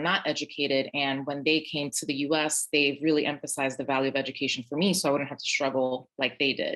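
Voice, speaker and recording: At a fairly quick pace, a woman with a New York accent speaks in a very deep, low pitch. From Brooklyn, New York. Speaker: teacher. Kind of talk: panel discussion.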